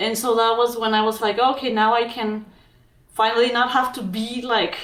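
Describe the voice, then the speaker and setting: A woman with a strong Mexican accent, fairly high pitch and fairly even intonation, in audible room echo. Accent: thick Mexican Spanish. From Mexico. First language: Spanish. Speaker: physician and documentary filmmaker. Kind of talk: interview.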